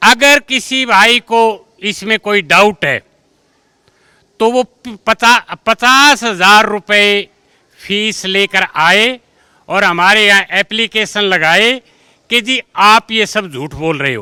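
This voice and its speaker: Raised and projected, a man's high voice has a bright, sharp tone and ordinary pitch variation, with a dry, close sound with no echo on a very clean recording with a silent background. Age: 60s. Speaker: school teacher. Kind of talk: interview. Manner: animated.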